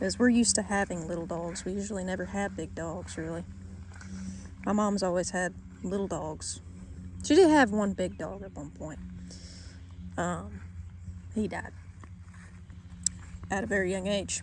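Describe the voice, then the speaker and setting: Long, frequent pauses break up this woman's moderately paced speech, which has big swings in loudness and audible room echo. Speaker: vlogger on homestead life. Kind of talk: casual vlog update. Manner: halting, many fillers and repeats.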